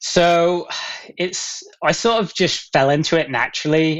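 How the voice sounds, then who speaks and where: A man speaks with an American accent. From England, Gloucester. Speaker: elite runner. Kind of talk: podcast interview. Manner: hesitant, many fillers.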